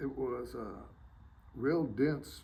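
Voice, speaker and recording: Audible room echo surrounds a man whose dark, mellow tone comes through somewhat breathy, with fairly even intonation. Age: 70s. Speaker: war veteran. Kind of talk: interview. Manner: halting.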